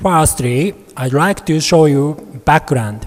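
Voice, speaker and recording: A man with a Japanese accent speaks fairly slowly in a fairly high pitch, with noticeable background noise behind him. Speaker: medical researcher, professor. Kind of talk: conference presentation. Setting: conference hall. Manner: formal.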